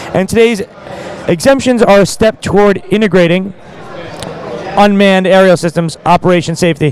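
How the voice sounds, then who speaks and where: Loud and high-pitched, a man speaks at a fairly quick pace with ordinary pitch variation. Noticeable background noise is present. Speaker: camera store staff co-host. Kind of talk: live-streamed casual chat. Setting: live stream at in-store expo.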